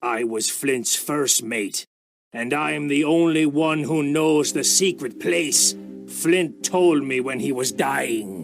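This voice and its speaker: A man's put-on character voice at a medium pitch, fairly slow pace and lively intonation, over faint music in the background. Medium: audio drama. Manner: gruff, desperate.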